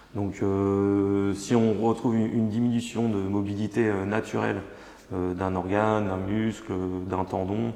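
In a dark, mellow tone, a man speaks very slowly with a fairly low voice. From France, Mayenne. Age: 30s. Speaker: osteopath. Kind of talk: interview. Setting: studio. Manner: halting, many repetitions and hesitations.

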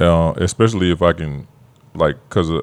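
Ordinary pitch variation and a clear, smooth tone mark this voice at a moderate pace. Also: man, low pitch for a man.

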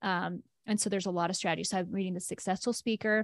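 Very fast, monotone, flat delivery from a woman with an American accent, dry and close with no echo. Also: very clean recording, silent background. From US South, rural Tennessee near Chattanooga. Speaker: life coach and personal trainer. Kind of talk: casual interview conversation.

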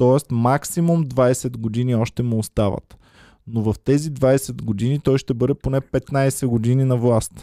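A man speaks at a medium pitch and a fairly slow pace, with a dark, mellow tone, very even loudness and fairly even intonation. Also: dry, close sound with no echo. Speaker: comedian. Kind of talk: casual chat.

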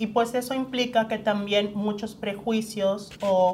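A woman speaks at a fairly slow pace with a medium pitch and flat, monotone intonation. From Mexico, Yucatán. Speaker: human rights lawyer. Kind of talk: interview.

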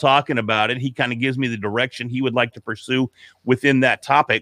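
An unremarkable speaking voice from a man, medium in pitch with fairly even intonation. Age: 40s. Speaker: podcaster. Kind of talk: casual chat.

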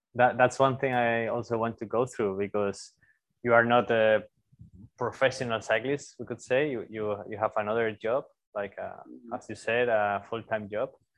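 A man speaks with a Spanish accent at a medium pitch. His intonation is monotone and flat, and his pace is moderate. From Spain, Zaragoza. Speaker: podcast host, bike workshop owner. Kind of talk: casual interview.

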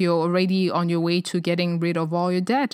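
A woman speaks with a non-native accent. The recording is very clean, with a silent background and a dry, close sound with no echo. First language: not English. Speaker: personal finance podcast host. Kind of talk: solo podcast talk. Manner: frequent hesitations and fillers.

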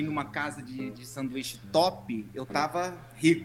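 A man's lively intonation over background music. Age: 30s. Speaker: pharmaceutical sales professional. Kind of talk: interview.

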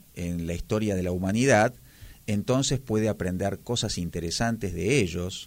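A man with a Buenos Aires accent is heard on a very clean recording with a silent background. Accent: porteño Argentine Spanish. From Argentina, Buenos Aires. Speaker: literature lecturer. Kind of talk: radio interview. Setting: radio studio. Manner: formal.

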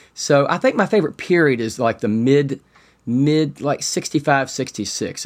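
It is a plain, everyday voice with an American accent and ordinary pitch variation. The recording is very clean, with a silent background. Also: man. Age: 50s. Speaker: funeral home owner and Beatles fan. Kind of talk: interview.

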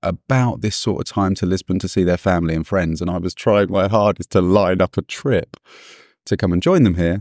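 On a very clean recording with a silent background, a man with a British accent talks at a fairly quick pace with ordinary pitch variation. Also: dry, close sound with no echo. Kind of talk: casual chat.

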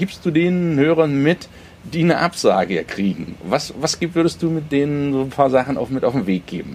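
This man speaks at a moderate pace with a medium pitch. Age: 40s. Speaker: podcast host. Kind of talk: interview.

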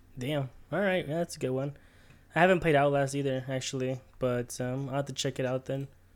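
At a fairly quick pace, a man talks with fairly even intonation and a fairly high pitch. It is an unremarkable speaking voice. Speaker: podcast co-host. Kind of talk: casual chat. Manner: casual, friendly.

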